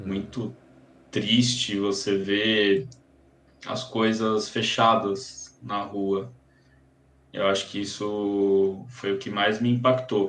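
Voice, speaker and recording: A man talks at a very slow pace, with long, frequent pauses. His pitch varies in an ordinary way. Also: fairly low pitch for a man. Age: 30s. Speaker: psychiatrist and sleep medicine doctor. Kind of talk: casual chat.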